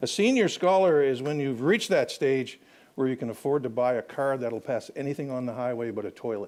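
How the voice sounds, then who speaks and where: Over a very clean recording with a silent background, a man with an unremarkable speaking voice talks fairly quickly at a fairly high pitch, his intonation lively. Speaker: historian. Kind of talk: lecture.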